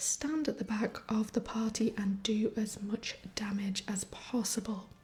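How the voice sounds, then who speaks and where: The speaker is soft-spoken with a calm tone. The pace is very slow. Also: woman. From northern England. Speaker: fantasy writer and gamer. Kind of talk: soft-spoken ASMR gaming commentary. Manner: soft-spoken, calm.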